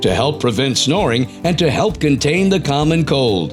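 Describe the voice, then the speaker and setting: Music in the background behind a man with a fairly high pitch, very wide pitch swings and a moderate pace. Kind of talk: infomercial voice-over narration.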